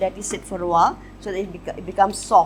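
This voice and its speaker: A woman speaks at a fairly quick pace with medium pitch. Vocal fry runs through her voice. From Malaysia. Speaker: home cook. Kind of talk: cooking show explanation. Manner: casual.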